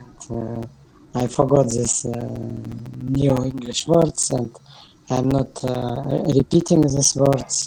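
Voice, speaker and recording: A man at a fairly slow pace, with long, frequent pauses and fairly even intonation, music in the background. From Kyrgyzstan. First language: Kyrgyz and Russian. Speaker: language student. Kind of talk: online class discussion. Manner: halting, many hesitations.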